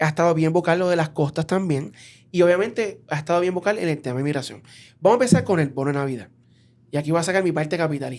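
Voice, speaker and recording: A man with a Puerto Rican accent at a very fast pace, fairly high in pitch, on a very clean recording with a silent background. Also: ordinary pitch variation. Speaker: podcast host. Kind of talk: interview.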